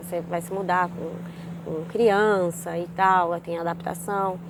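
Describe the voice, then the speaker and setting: This is a woman talking. Her pace is very slow. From Brazil, Rio de Janeiro. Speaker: vlogger. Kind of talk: casual vlog talk. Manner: conversational, with many fillers.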